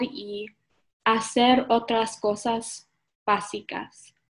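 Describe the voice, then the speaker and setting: A woman's fairly high-pitched voice with a non-native accent, very slow and monotone, flat, over a quiet background. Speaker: church intern. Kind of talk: sermon. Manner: halting.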